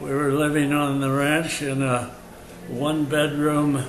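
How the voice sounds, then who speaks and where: Speaking at a very slow pace with an American accent, a man with a fairly high pitch is heard over noticeable background noise and audible room echo. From California (Carpinteria). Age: 80s+. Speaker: elderly local resident. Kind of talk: oral history reminiscence. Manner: halting, many fillers.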